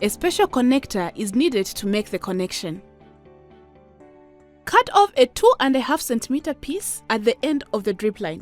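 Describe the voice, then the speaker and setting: A woman with a high pitch makes very wide pitch swings at a moderate pace. The sound is dry and close with no echo, and music plays in the background. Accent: Zambian. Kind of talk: educational animation narration.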